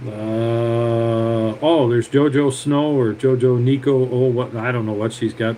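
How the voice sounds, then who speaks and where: The man's voice sits at a medium pitch with monotone, flat intonation. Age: 60s. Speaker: tractor mechanic. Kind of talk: live stream talk and repair tutorial. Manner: casual, rambling with filler words.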